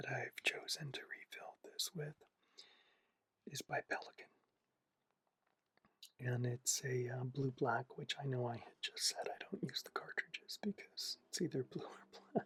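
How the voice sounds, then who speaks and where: A relaxed tone at a fairly slow pace, with long, frequent pauses. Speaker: fountain pen and journaling hobbyist. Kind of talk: ASMR relaxation video, casual talk to camera about fountain pens. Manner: soft-spoken, slow, relaxed.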